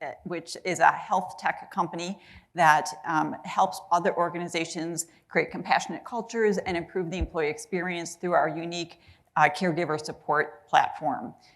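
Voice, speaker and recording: This woman has an American accent and a fairly low pitch. She speaks at a moderate pace with fairly even intonation. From US Midwest, Chicago. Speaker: HR executive, panelist. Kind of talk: panel discussion. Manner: halting, many fillers.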